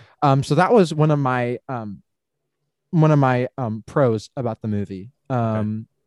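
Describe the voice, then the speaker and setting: At a fairly slow pace, a man with a medium pitch and ordinary pitch variation speaks in a dry, close sound with no echo on a very clean recording with a silent background. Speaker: podcast co-host. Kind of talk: casual chat.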